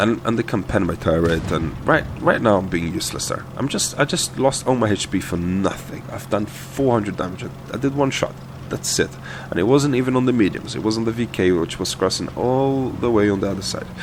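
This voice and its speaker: A man with a medium pitch speaks with lively intonation. Noticeable background noise is present. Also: fairly quick pace. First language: not English. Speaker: gaming video creator. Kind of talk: gameplay commentary tutorial. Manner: casual, many hesitations and repeated words.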